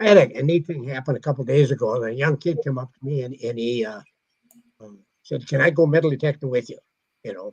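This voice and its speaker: Speaking at a fairly quick pace, a man uses a fairly high, somewhat breathy voice with ordinary pitch variation. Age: 80s+. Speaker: metal detecting author. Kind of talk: casual chat.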